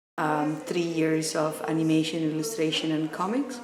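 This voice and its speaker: A woman with an Italian accent, very deep and low in pitch, with ordinary pitch variation, audible room echo and noticeable background noise. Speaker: art student. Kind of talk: interview.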